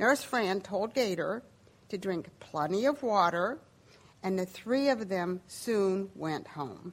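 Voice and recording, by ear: The recording is reading aloud in a natural voice.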